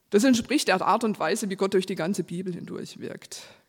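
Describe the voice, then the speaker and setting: A woman speaks with ordinary pitch variation. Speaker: preacher. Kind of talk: sermon. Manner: reading from a script.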